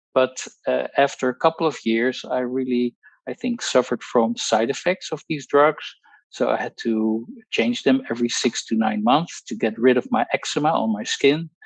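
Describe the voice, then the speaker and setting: A man with a Dutch accent at a moderate pace, medium pitch and ordinary pitch variation, with a dry, close sound with no echo against a quiet background. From Netherlands. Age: 60s. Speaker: pharmacologist. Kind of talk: testimony. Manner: halting.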